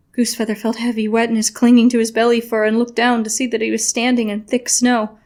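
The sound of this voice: An unforced reading voice carries the whole clip.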